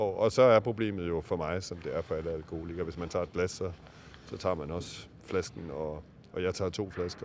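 A man's very deep, low voice carries fairly even intonation at a moderate pace. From Denmark, Aarhus (East Jutland). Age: 50s. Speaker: novelist. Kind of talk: interview. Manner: halting, many fillers.

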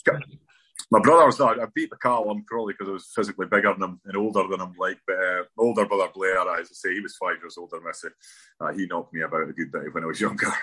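A man talks at a very fast pace in a northeast Scottish accent. His loudness swings widely. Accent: north-east Scottish. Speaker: former footballer. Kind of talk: interview.

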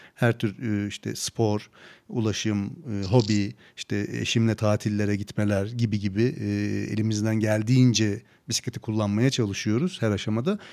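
A man with an ordinary speaking voice and fairly low pitch talks at a moderate pace with fairly even intonation, recorded very cleanly over a silent background. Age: 40s. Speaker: podcast host. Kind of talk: casual interview.

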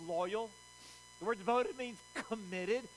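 A high-pitched man in a Southern US accent, his pitch swinging very widely. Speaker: pastor. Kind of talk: sermon. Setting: church. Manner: animated, call-and-response.

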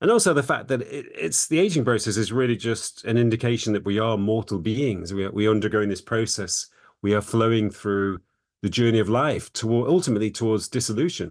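A man with an English accent speaks at medium pitch and a fairly quick pace. His pitch varies in an ordinary way against a quiet background. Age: 50s. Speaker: psychologist and author. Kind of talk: interview.

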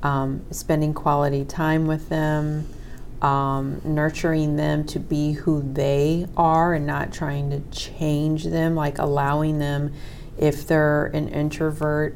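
With audible room echo around her, a woman speaks at a very slow pace. Her pitch is very deep and low, and her intonation is monotone and flat. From raised in a religious cult. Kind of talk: casual chat.

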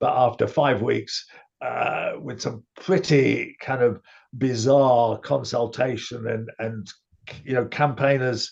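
A man's medium-pitched, somewhat breathy voice with a British accent, at a fairly slow pace and with fairly even intonation. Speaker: podcast host. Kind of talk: casual chat. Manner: measured, with frequent filler pauses.

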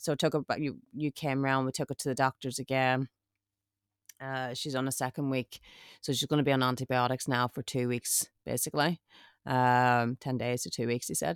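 On a very clean recording with a silent background, a woman with an Irish accent speaks at a fairly quick pace with a very deep, low pitch. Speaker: podcast co-host. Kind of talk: casual chat. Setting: glamping pod with rain outside.

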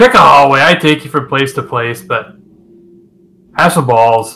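In a put-on character voice, a man speaks at a moderate pace with a medium pitch and a raspy sound. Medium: actual play. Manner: dismissive, gruff.

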